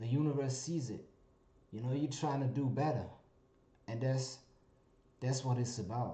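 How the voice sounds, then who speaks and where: A somewhat breathy, medium-pitched man's voice with a dark, mellow tone, fairly even intonation and audible room echo. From Germany. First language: German. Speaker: vlogger. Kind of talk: casual monologue vlog. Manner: halting, many fillers.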